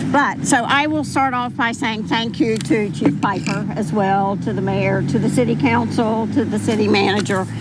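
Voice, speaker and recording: With hardly any pauses, a woman speaks in a room with audible echo and noticeable background noise. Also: moderate pace. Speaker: mother of fallen police officer. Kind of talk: memorial speech. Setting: public ceremony with microphone.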